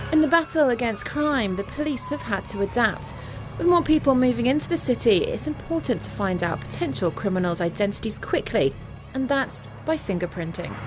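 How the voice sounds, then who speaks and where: Music plays in the background as the voice moves at a fairly quick pace with very wide pitch swings. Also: woman, fairly high pitch for a woman. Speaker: reporter. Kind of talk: TV news report.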